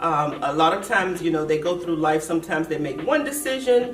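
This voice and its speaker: Here a woman talks at a moderate pace. Background music plays behind her. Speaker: channel host and interviewer. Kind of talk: interview, host questions. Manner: warm, encouraging.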